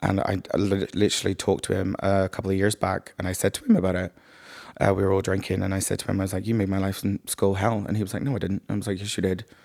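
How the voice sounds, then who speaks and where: A man's very fast, monotone, flat delivery in a Northern Irish accent, on a very clean recording with a silent background. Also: fairly low pitch for a man. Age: 30s. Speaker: podcast guest. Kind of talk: casual chat.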